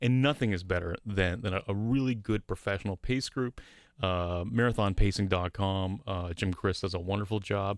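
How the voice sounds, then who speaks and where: A man's unremarkable speaking voice, fairly low in pitch with ordinary pitch variation, at a moderate pace on a very clean recording with a silent background. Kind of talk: radio host patter. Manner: upbeat, chatty, repeats words.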